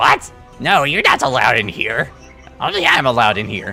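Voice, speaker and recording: Putting on a character voice, a man of medium pitch speaks at a fairly quick pace over clear music in the background. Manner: territorial, indignant.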